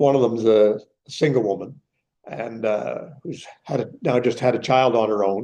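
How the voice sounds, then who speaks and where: At a fairly slow pace, a man speaks with a medium pitch, a dark, mellow tone and fairly even intonation. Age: 70s. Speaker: economics professor emeritus, seminar speaker. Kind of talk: Q&A discussion after a lecture.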